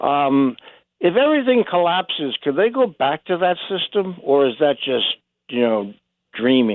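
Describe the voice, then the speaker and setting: At a fairly slow pace, a man talks in a fairly high voice with very wide pitch swings. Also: very even loudness. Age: 70s. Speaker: caller. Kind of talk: call-in question.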